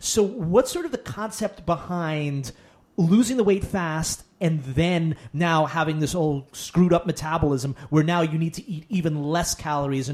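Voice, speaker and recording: A normal speaking voice, male and fairly high-pitched, full of lively intonation. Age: 30s. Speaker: podcast host. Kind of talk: interview.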